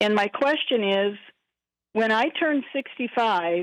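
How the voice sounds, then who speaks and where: In an unremarkable speaking voice, a woman speaks at a fairly slow pace with a fairly high pitch. The sound is dry and close with no echo, over a quiet background. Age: 60s. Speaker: caller, retiree. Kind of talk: phone-in question.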